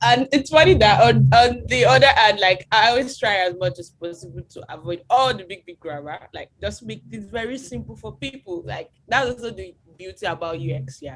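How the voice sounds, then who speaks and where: Her voice full of vocal fry, a woman speaks with very wide pitch swings and big shifts in loudness. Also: medium pitch for a woman, moderate pace, hardly any pauses. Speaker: UX designer and researcher. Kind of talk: webinar lecture. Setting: video call webinar.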